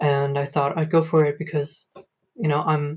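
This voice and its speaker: Somewhat breathy, a man with fairly high pitch talks at a moderate pace with fairly even intonation. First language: German. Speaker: university student. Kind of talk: self-introduction in online class. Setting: video call.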